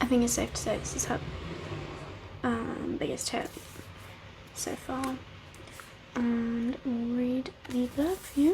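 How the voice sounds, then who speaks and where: A woman speaks at a high pitch with ordinary pitch variation, leaving long, frequent pauses. Noticeable background noise runs underneath. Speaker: ASMR content creator and book reviewer. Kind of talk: casual talk to camera, book review. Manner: soft-spoken, whispered.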